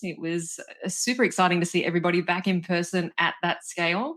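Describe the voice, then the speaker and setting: In an Australian accent, a woman with a medium pitch talks at a fairly quick pace on a very clean recording with a silent background. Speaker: corporate learning director. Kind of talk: interview.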